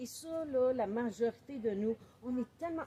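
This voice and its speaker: In a Quebec accent, a woman speaks with a high pitch, a dark, mellow tone and ordinary pitch variation. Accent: Québécois French. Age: 60s. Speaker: author and book coach. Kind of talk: welcome speech. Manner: animated.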